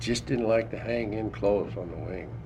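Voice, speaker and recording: A man's fairly low voice with vocal fry at a moderate pace. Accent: American. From Idaho, USA. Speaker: World War II veteran. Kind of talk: oral history interview answer.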